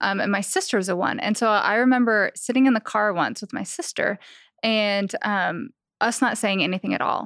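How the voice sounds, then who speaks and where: A woman with an unremarkable speaking voice talks at a fairly high pitch with ordinary pitch variation, the sound dry and close with no echo in a very clean recording with a silent background. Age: 30s. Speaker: songwriter and stylist. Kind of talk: casual chat.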